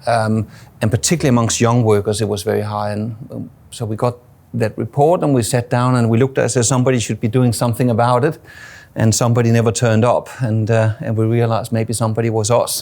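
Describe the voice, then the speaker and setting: Very fast-paced male speech, intonation fairly even. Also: medium pitch for a man. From Denmark. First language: Danish. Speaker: suicide prevention charity CEO, former plumber. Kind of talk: interview. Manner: halting, many fillers and repeats.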